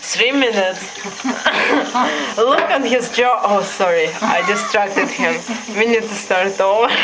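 Long, frequent pauses over loud background noise. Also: fairly slow pace. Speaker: pet owner filming. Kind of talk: casual commentary while filming a pet. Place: home room. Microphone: phone near.

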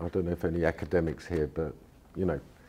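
With a London accent, a man speaks in a very deep, low pitch, monotone and flat, with a dark, mellow tone. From London, England. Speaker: political theorist and lecturer. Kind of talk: lecture then discussion. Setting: stage with audience. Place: hall. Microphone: podium.

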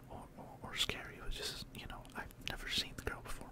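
Over loud background noise, a soft-spoken man whispers at a moderate pace, the sound dry with no echo. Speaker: video creator. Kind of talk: casual storytelling vlog chat. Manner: soft close-mic whisper. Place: home room. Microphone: studio mic.

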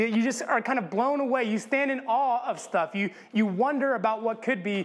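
At an extremely high pitch, a man speaks with ordinary pitch variation. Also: moderate pace. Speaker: pastor. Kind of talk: sermon. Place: church.

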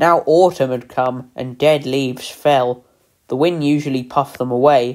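A quiet background behind a natural voice reading aloud

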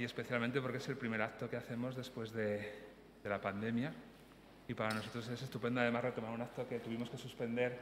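Very fast speech with light background noise and audible room echo. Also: man, medium pitch for a man. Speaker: event host. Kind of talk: welcome remarks at a public event. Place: hall. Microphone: podium.

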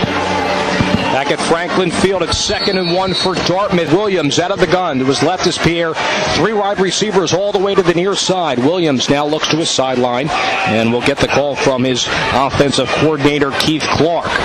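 A man at a moderate pace with hardly any pauses, high in pitch with ordinary pitch variation, amid noticeable background noise. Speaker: play-by-play announcer. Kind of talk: radio sports play-by-play.

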